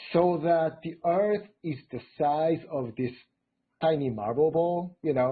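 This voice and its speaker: A man speaks very slowly in a Japanese accent. His pitch is fairly high, with ordinary variation. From Japan, Tokyo. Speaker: robotics engineer. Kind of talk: interview. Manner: hesitant, many fillers.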